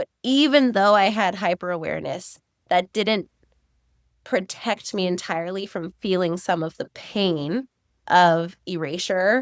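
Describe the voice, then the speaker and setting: Recorded very cleanly with a silent background and a dry, close sound with no echo, a woman with a plain, everyday voice speaks at a fairly slow pace in a medium pitch with ordinary pitch variation. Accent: American. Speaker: author and educator. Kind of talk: interview conversation.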